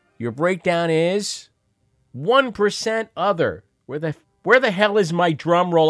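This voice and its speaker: This man speaks at a very slow pace. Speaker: radio host. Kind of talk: live call-in radio show, casual news commentary. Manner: wry, sardonic, chatty.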